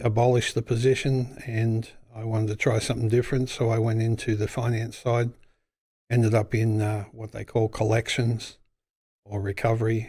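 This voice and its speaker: With an Australian accent, a man of medium pitch speaks at a moderate pace in a dark, mellow, somewhat breathy tone and a monotone, flat intonation. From Australia, Western Sydney. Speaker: business owner. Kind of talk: casual interview.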